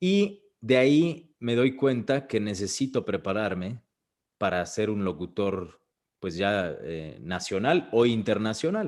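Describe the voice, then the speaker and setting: On a very clean recording with a silent background, the speaker uses lively intonation in a Mexican accent. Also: man. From Mexico. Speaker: voice actor. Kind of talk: interview answer. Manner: casual, conversational.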